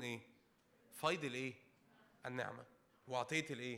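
The voice has a bright, sharp, animated tone with ordinary pitch variation. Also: man. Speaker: preacher. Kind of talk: sermon. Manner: calm, unable to raise voice.

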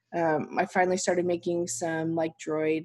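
In an unremarkable speaking voice, a woman talks at a fairly low pitch. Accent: American. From Utah, US (Salt Lake City). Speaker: pin designer and shop owner. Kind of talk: casual interview chat.

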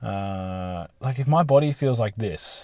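A somewhat breathy voice in a very clean recording over a silent background. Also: man. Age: 20s. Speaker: podcast host. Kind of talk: solo monologue podcast. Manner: casual, with frequent fillers and repetitions.

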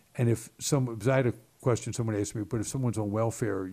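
At a very fast pace, a man with an American accent speaks in a somewhat breathy, dark, mellow tone at a fairly low pitch with ordinary pitch variation. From Baltimore, Maryland. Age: 60s. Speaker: state legislator, former Marine. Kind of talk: casual interview conversation. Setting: office.

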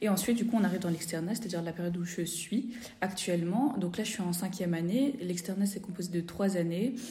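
Speaking at a very fast pace, a woman with a medium pitch and ordinary pitch variation sounds somewhat breathy, with a dark, mellow tone and audible room echo. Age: 20s. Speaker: fifth-year medical student. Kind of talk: casual interview.

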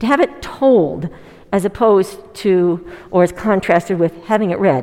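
A woman's ordinary speaking voice at medium pitch and a fairly slow pace. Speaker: preacher leading a church service. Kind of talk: sermon with congregation reflection. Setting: church with online audience.

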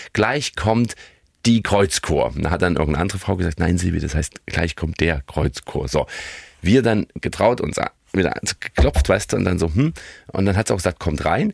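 Vocal fry runs through this man's very deep, low voice as he talks at a moderate pace with lively intonation. The sound is dry and close, with no echo. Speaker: podcast co-host. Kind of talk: casual chat.

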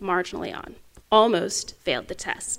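A woman with an Oklahoma accent talks at a moderate pace. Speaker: political science professor, guest speaker. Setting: lecture event, addressing an audience. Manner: emphatic, blunt, casual.

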